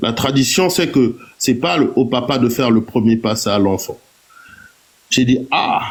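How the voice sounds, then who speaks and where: Amid noticeable background noise, a man's medium-pitched voice shows ordinary pitch variation. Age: 40s. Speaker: live-stream participant. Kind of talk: personal testimony.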